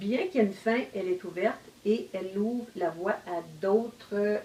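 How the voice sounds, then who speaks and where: Speaking with a Quebec accent at a fairly slow pace, a woman keeps a medium pitch and ordinary pitch variation while noticeable background noise carries on behind her. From Quebec, Outaouais region. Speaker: novelist. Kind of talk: casual discussion. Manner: hesitant, many fillers.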